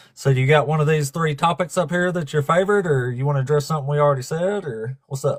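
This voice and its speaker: Somewhat breathy, a man talks at a very fast pace. His pitch variation is ordinary. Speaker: atheist debate livestream host. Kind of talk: casual live stream talk.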